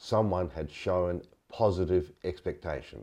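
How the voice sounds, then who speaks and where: With vocal fry and a dark, mellow tone, a man speaks at a very deep, low pitch against a quiet background. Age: 70s. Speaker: leadership consultant. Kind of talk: interview conversation.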